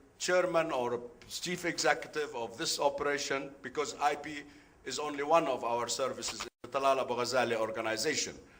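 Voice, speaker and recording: Room echo can be heard. The delivery is fairly quick, with ordinary pitch variation. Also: man. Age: 70s. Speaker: business executive, conference speaker. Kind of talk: conference talk. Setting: conference room with audience. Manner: halting, with many fillers.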